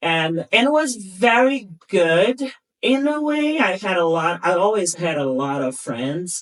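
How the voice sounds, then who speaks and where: A woman with a Brazilian Portuguese accent at a medium pitch, her pitch swinging very widely at a fairly slow pace. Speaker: podcast guest. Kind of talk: casual chat.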